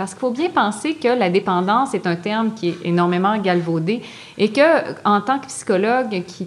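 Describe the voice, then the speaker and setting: Noticeable background noise sits behind a woman speaking at a moderate pace with a medium pitch and ordinary pitch variation. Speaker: psychology professor and addiction researcher. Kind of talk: lecture. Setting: stage with audience.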